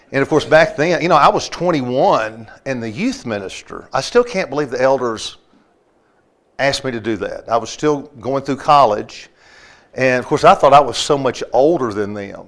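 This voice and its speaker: With a strong Southern US accent, a man speaks at a moderate pace in a fairly high pitch with ordinary pitch variation, captured in a very clean recording with a silent background. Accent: thick Southern. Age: 60s. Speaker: preacher. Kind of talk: Bible class lesson.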